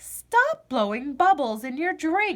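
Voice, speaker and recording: Using a put-on character voice, a woman speaks high and at a fairly slow pace, her pitch swinging very widely. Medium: read story.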